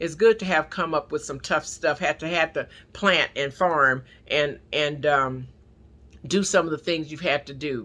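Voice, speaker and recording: A woman with a Southern US accent, very deep and low in pitch, bright and sharp in tone, at a fairly slow pace with big swings in loudness, on a very clean recording over a silent background. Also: ordinary pitch variation. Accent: Southern drawl. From US, not the South (city-raised). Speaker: prayer line preacher. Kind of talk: sermon. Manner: halting, repetitive.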